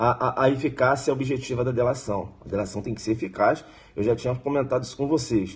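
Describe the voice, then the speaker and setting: At a fairly quick pace, a man talks in a somewhat breathy, medium-pitched voice with ordinary pitch variation. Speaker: law exam prep teacher. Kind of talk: live-streamed exam review lecture. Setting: live stream. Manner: fast; animated.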